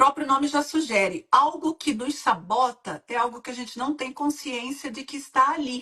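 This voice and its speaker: A woman talks at a moderate speed. Her voice has a bright, sharp tone. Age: 60s. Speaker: women's mentor and hypnotherapist. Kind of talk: live-stream interview. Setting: online live stream.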